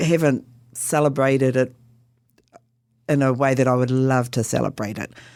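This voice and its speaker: Speaking with a New Zealand accent, a woman has a very deep, low pitch and fairly even intonation. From New Zealand, Northland (Whangarei). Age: 60s. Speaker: Anglican priest and Māori chaplain. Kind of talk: interview.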